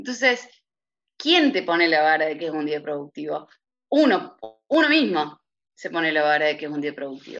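A woman speaks at a moderate pace, with long, frequent pauses. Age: 30s. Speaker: lawyer's office administrator. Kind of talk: interview. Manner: hesitant with filler sounds.

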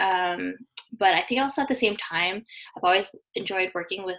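A woman with a Canadian accent speaks with vocal fry. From British Columbia, Canada. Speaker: physiotherapy student. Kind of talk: casual chat.

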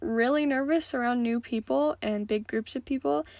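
Here a woman with an American accent talks at a high pitch with lively intonation. The recording is very clean, with a silent background. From Montana. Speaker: podcast host. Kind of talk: casual monologue.

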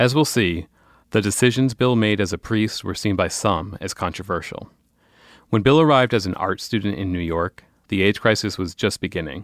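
Speaking at a moderate pace, a man has a fairly low pitch with ordinary variation and a normal speaking voice. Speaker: journalist and podcast host. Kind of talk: scripted narration.

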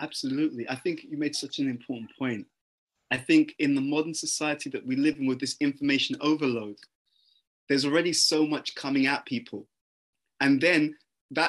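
A man speaks with a fairly high pitch and ordinary pitch variation. His pace is fairly quick. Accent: London. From London, England. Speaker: personal development speaker. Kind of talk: interview conversation.

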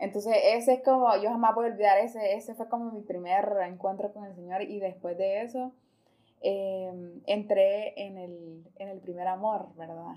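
Her tone is dark and mellow, pitched medium for a woman. The woman's intonation is fairly even. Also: moderate pace, big swings in loudness. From Honduras, Choluteca. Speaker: foundation coordinator. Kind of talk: casual interview.

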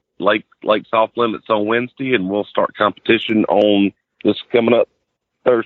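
In a Southern US accent, a man speaks at a medium pitch with flat, monotone intonation and very even loudness. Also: moderate pace. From US South, Florida Panhandle near Pensacola. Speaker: professional bass angler. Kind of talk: casual interview.

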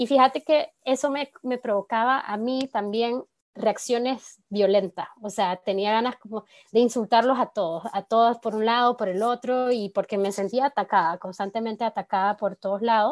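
A normal speaking voice from a woman, fairly high in pitch, with ordinary pitch variation and a moderate pace, dry and close with no echo over a quiet background. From Nicaragua. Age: 20s. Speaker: communicator and feminist activist. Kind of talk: podcast interview.

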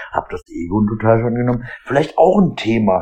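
A man with a medium pitch talks at a fairly quick pace in a normal speaking voice. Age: 40s. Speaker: podcaster. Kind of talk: casual monologue. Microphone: AirPods and iPhone.

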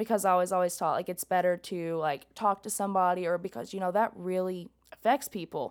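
Southern US accent at a fairly quick pace with hardly any pauses, ordinary pitch variation and a very clean recording with a silent background. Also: woman, medium pitch for a woman. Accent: Southern US, country. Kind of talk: casual chat.

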